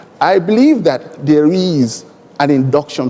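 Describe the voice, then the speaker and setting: A man with a high voice talks fairly slowly, his intonation lively, while noticeable background noise plays behind him. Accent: Nigerian. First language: Igbo. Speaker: airline executive, panelist. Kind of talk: conference panel discussion.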